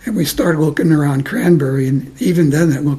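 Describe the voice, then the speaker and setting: Amid noticeable background noise, a man in an American accent talks at a moderate pace. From New York City, Lower East Side. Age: 90s. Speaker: interviewee, retiree. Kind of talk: oral history interview. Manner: halting, many repeats and fillers.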